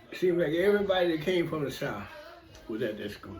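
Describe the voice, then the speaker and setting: A man is speaking with ordinary pitch variation. Noticeable background noise can be heard behind him. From Georgia, raised in Detroit. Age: 80s+. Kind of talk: interview answer, storytelling.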